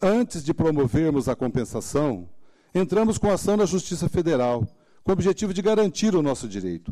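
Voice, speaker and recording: A man's voice has a dark, mellow tone and fairly high pitch. He moves at a moderate pace with very wide pitch swings. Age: 60s. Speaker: former mayor defending his accounts. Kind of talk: formal plea before a tribunal. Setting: tribunal session. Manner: formal.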